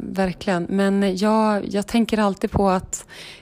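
Her tone is dark and mellow, her pitch medium. The woman talks at a fairly slow pace in a monotone, flat intonation. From northern Sweden, Vilhelmina (Lapland). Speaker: fly-fishing enthusiast and lawyer. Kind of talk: casual interview. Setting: friend's apartment, in person.

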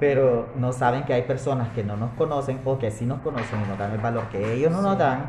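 Noticeable background noise and audible room echo accompany a man who talks at a fairly quick pace in a medium pitch with ordinary pitch variation. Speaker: podcast host. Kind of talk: casual chat. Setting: café.

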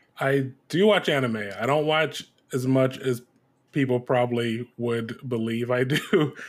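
A man with an American accent, a medium pitch and ordinary pitch variation has an unremarkable speaking voice. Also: very clean recording, silent background. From US Midwest, Detroit, Michigan. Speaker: TV head writer and voice actor. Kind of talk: interview.

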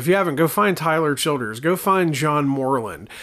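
A man speaks with an Appalachian accent and lively intonation. His tone is bright and sharp. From southern West Virginia, near Kentucky border. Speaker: podcast host, horror movie reviewer. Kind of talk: casual solo podcast monologue. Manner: halting, many repetitions and fillers.

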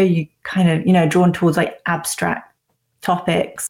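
A woman's fairly low, somewhat breathy voice, fairly slow and fairly even in intonation. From Cornwall, southwest England. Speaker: dating app founder. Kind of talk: interview.

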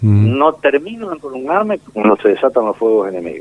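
A man's pitch swings very widely. He keeps to a moderate pace. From Argentina. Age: 60s. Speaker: war veteran. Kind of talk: testimony. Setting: phone call.

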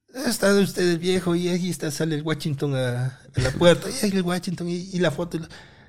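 A man talks at a fairly quick pace with hardly any pauses. His pitch is high, with ordinary pitch variation. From Ecuador, Cotopaxi (Latacunga). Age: 50s. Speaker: electrical engineer and content creator. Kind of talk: casual interview chat.

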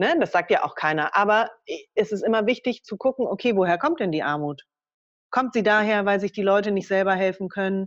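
A woman with a normal speaking voice talks at a fairly quick pace, her medium pitch showing ordinary variation, over a quiet background. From Germany. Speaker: political education worker and author. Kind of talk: interview.

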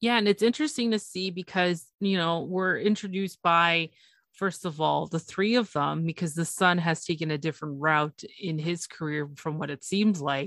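An ordinary speaking voice with a Canadian accent flows with hardly any pauses and ordinary pitch variation, in a dry, close sound with no echo on a very clean recording with a silent background. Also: woman, fairly low pitch for a woman, moderate pace. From Canada, Toronto. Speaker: podcast host. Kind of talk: casual chat.

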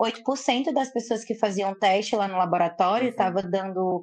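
Speaking at a moderate pace with ordinary pitch variation, a woman talks in a Ceará accent. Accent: Northeastern Brazilian (Cearense). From Fortaleza, Ceará, Brazilian Northeast. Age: 20s. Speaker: social media personality. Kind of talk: casual chat.

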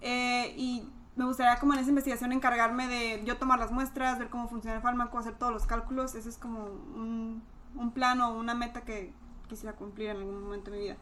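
A woman speaks at a high pitch and a fairly quick pace, her intonation flat and monotone. Her loudness swings widely, with noticeable background noise behind her. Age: 20s. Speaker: pharmacy student. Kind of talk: casual chat.

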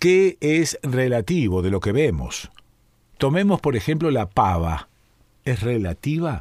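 A man speaks at a very slow pace in a Rioplatense accent. His medium-pitched voice swings very widely in pitch. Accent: Argentine Rioplatense Spanish. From Argentina, Rosario. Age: 70s. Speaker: radio host. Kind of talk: radio talk and listener mail reading.

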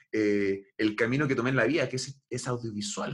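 At a moderate pace, a man talks in a Chilean accent. His voice is somewhat breathy. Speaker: podcast host. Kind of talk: casual chat.

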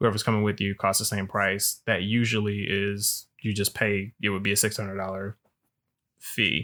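On a very clean recording with a silent background, a man with a fairly low pitch and a bright, sharp tone speaks at a moderate pace with monotone, flat intonation. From Alabama. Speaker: podcast co-host, travelling professional. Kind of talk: casual chat. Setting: at home.

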